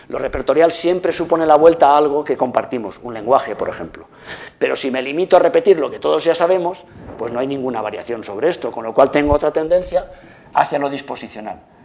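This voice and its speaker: Very fast and with lively intonation, a man with a fairly high pitch talks in big swings of loudness over noticeable background noise. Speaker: lecturer. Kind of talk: lecture. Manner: animated.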